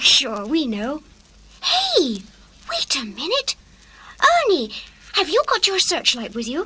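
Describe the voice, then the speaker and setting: A female-sounding put-on character voice, high-pitched with very wide pitch swings, goes at a fairly slow pace with long, frequent pauses. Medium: audio drama. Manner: eager, excitable.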